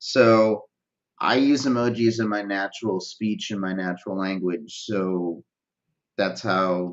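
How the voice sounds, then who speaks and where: A man's fairly even intonation against a quiet background. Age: 30s. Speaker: social media marketing expert. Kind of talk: casual interview chat. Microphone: video call.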